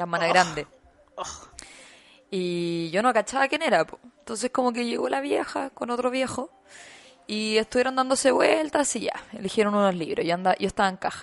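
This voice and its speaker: Noticeable noise runs behind a woman's fairly high-pitched voice. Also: lively intonation, moderate pace. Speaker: podcast co-host. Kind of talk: casual chat.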